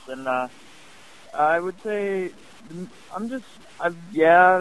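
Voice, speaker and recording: A man with a Midwestern American accent. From Northwest Ohio. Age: young. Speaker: sprint car racing driver. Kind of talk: interview.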